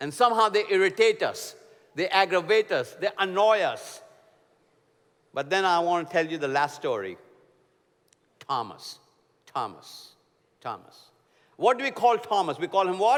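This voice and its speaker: Speaking at a moderate pace with long, frequent pauses, a man with an Indian accent uses a high pitch, lively intonation and an animated tone. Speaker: preacher. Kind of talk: sermon.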